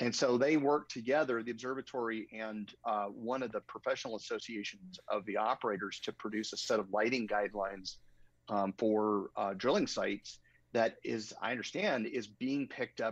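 A man speaks with an American accent at medium pitch, with ordinary pitch variation and a moderate pace. It is a normal speaking voice, with a dry, close sound and no echo. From Arizona, US Southwest. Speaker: astronomer and light pollution consultant. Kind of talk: interview, casual chat.

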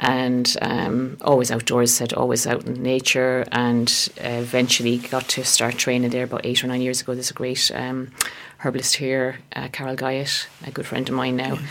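A woman with an Irish accent speaks at a moderate pace with hardly any pauses, her pitch very deep and low and her intonation flat and monotone. Noticeable background noise runs underneath. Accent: Irish (Galway). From West Galway, Ireland. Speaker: herbalist and therapist. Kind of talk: radio interview.

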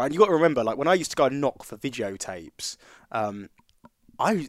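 With an English accent, a man talks at a fairly high pitch, his voice making very wide pitch swings. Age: 30s. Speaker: podcast host. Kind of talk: casual chat.

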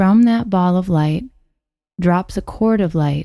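A woman with a fairly low pitch and a dark, mellow tone speaks at a fairly slow pace with ordinary pitch variation. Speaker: meditation guide. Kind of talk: guided meditation. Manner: slow, soothing, calm and gently paced with long pauses; soft-spoken, nurturing and encouraging.

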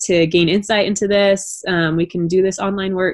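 She speaks fairly quickly in a plain, everyday voice. Her pitch is medium for a woman. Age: 30s. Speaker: music therapist. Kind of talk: interview.

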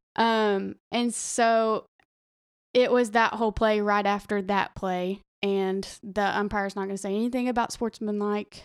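A woman with a Southern US accent, medium pitch and monotone, flat intonation, on a very clean recording with a silent background. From Arkansas. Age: 20s. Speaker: teacher and former college softball player. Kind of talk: casual chat.

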